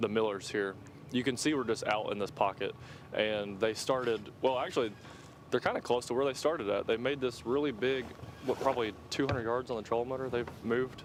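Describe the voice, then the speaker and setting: A man with a Southern US accent, a fairly quick pace and ordinary pitch variation. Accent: US South. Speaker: fishing tournament commentator. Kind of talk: live commentary. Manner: loud.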